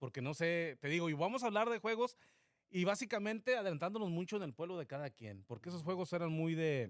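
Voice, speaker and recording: The man's voice is high-pitched, and his tone is animated. He talks at a very fast pace with lively intonation. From Mexico, Zacatecas (near Sombrerete). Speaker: podcast co-host. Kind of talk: casual chat. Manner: animated, storytelling.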